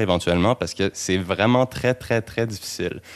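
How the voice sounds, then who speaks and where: A man with a Quebec accent at a fairly quick pace, ordinary pitch variation, and a quiet background. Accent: Québécois French. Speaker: actor. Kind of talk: casual discussion. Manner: halting, repetitive.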